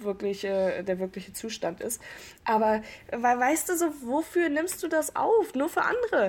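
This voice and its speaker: A woman at a high pitch with very wide pitch swings and a moderate pace. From northeastern Germany, Rostock. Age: 20s. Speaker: podcast host. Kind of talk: casual chat. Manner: animated.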